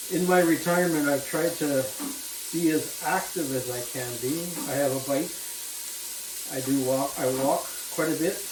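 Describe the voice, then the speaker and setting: A man with a fairly high voice and a relaxed tone speaks at a moderate pace with fairly even intonation and long, frequent pauses. Audible room echo and noticeable background noise fill the recording. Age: 70s. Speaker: cooking vlogger. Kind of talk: casual cooking vlog chat. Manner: relaxed, hesitant with fillers and repeats.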